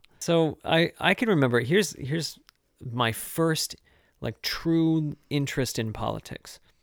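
A man with an American accent has an unremarkable speaking voice, a fairly high pitch and ordinary pitch variation, talking at a fairly slow pace. The recording is very clean with a silent background, and the sound is dry and close with no echo. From mid-Michigan. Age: 30s. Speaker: choir teacher and musician. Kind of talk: casual chat. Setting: cabin in the woods during quarantine.

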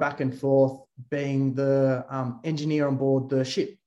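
Speaking at medium pitch with an Australian accent, a man keeps a monotone, flat intonation. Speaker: drone company founder and CEO. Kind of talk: interview. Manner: halting, frequent fillers and repeated words.

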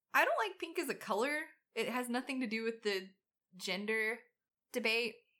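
Fairly high in pitch with a bright, sharp tone, a woman speaks in an American accent at a moderate pace. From US South. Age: 30s. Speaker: podcast co-host. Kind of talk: casual chat. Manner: animated.

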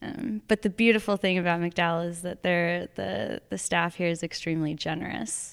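With an American accent, a woman has an ordinary speaking voice, a fairly low pitch, lively intonation and a moderate pace. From Arizona. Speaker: poet. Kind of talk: casual chat. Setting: library at an artist residency.

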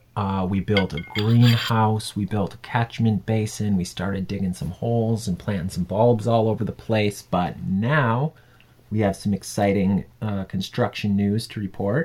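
Speaking in an ordinary speaking voice with an American accent, a man keeps a fairly low pitch, fairly even intonation and a moderate pace. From US Midwest, Wisconsin. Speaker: podcast co-host, construction worker. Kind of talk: casual chat.

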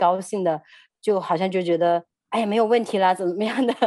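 A woman with a medium pitch speaks in a dark, mellow tone. Her moderate pace and ordinary pitch variation come through a dry, close sound with no echo. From China. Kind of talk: personal testimony interview. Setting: radio studio.

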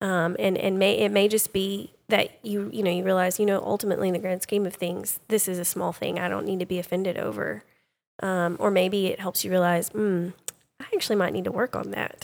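In an East Texas accent, a woman speaks fairly quickly at a medium pitch with fairly even intonation. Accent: East Texas Southern US. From East Texas (Sulphur Springs area). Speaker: homeschooling mother, co-host. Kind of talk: casual discussion.

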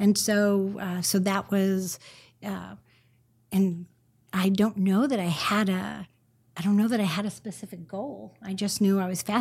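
A woman speaks at a moderate pace with a Californian accent, sounding somewhat breathy, with fairly even intonation on a very clean recording against a silent background. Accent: American (Californian). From Northern California. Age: 50s. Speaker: marketing and branding consultant. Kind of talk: interview conversation.

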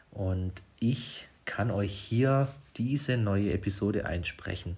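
A man with a fairly low pitch sounds somewhat breathy and uses ordinary pitch variation. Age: 30s. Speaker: podcast host, smartphone photography trainer. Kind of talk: casual solo podcast monologue. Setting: at home at night, quiet house. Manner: hesitant, many filler sounds.

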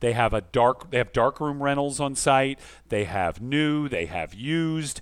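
In a plain, everyday voice of medium pitch, a man speaks fairly slowly with lively intonation on a very clean recording with a silent background. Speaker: podcast host. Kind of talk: casual chat.

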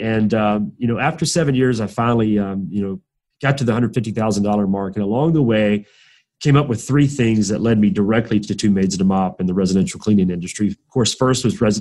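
Over a quiet background, a man with a Southern US accent talks at a very fast pace in a fairly low, dark, mellow voice with ordinary pitch variation. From US South, southwest Georgia. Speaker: franchise founder. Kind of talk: interview.

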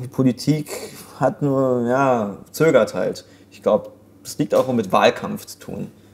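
Speaking at a very slow pace, a man shows big swings in loudness. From Germany. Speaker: comedian. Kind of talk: casual discussion.

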